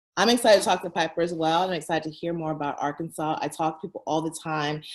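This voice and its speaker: A woman with an American accent talks at a very fast pace. Her pitch is very deep and low, with fairly even intonation. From San Francisco Bay Area, US. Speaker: entrepreneur, founder of a relocation platform. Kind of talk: interview.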